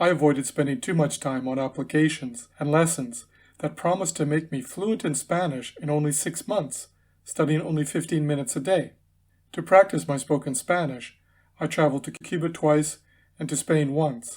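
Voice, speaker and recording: An ordinary speaking voice from a man, fairly high in pitch, at a moderate pace with ordinary pitch variation, on a very clean recording with a silent background. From Canada, Winnipeg, Manitoba. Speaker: English teacher. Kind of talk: scripted narration. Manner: formal.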